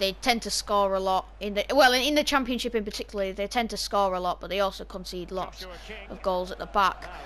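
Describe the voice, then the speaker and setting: A woman speaks with a northern English accent. Her pace is fairly quick. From northern England. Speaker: gaming YouTuber. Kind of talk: gameplay commentary. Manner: casual, chatty with hesitations.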